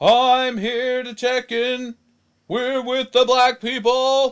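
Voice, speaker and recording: A man does a cartoonish character voice at an extremely high pitch, monotone and flat, at a very slow pace with big swings in loudness. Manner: earnest, leaderly.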